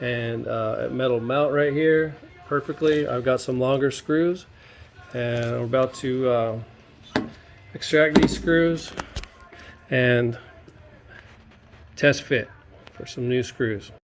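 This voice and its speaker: Long, frequent pauses in very slow talking, with noticeable noise in the background. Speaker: DIY video maker. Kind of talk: tutorial.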